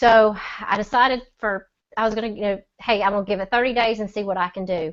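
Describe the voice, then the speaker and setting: Her intonation stays fairly even. The woman speaks with a Southern US accent. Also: fairly high pitch for a woman. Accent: Southern drawl. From Mississippi. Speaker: e-commerce seller. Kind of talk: testimony. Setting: video call.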